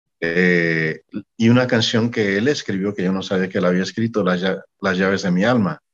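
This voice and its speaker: A man talks at a moderate pace in a very deep, low voice. His pitch varies in an ordinary way. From Mexico. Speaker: singer-songwriter and music manager. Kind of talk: interview.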